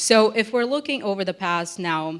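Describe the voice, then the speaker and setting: The speech comes at a fairly slow pace. It carries a Russian accent. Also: woman, very clean recording, silent background. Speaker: think tank military analyst. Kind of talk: panel discussion.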